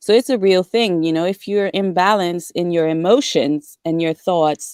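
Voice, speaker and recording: Recorded dry and close with no echo, the speaker has a French accent, ordinary pitch variation and a moderate pace. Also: woman. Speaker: discussion participant. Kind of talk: casual group discussion. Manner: halting.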